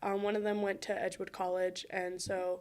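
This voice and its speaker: On a very clean recording with a silent background, a woman speaks at a medium pitch and a moderate pace. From Wisconsin, US. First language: Spanish. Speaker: college student, former tutor-mentor. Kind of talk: podcast interview. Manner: casual, many fillers.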